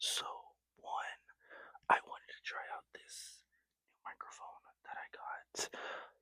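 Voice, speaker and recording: The voice is whispering. The sound is dry and close, with no echo. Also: man. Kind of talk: casual talk to camera. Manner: whispered.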